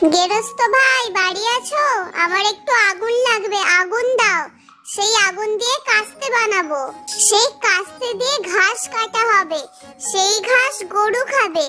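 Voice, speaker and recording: An extremely high-pitched cartoonish character voice speaks at a fairly slow pace. Music plays in the background. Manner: fast, repetitive listing.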